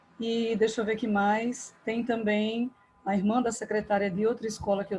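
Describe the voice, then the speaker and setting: Soft-spoken and fairly high-pitched, a woman speaks at a fairly slow pace with fairly even intonation. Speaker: school English teacher. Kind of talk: online class. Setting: video call from home.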